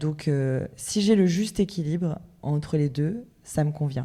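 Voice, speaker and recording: A woman speaks with a very deep, low pitch and a dark, mellow tone at a fairly slow pace. The recording is very clean, with a silent background. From Brittany, France (Lorient). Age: 30s. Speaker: nightclub owner and entrepreneur. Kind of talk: podcast interview.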